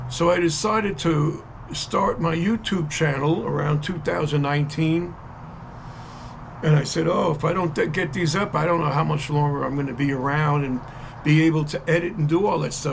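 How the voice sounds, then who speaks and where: There is noticeable background noise and audible room echo. A man with a fairly high pitch speaks at a moderate pace with fairly even intonation. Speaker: videographer and songwriter. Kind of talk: casual monologue to camera. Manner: halting, with many fillers.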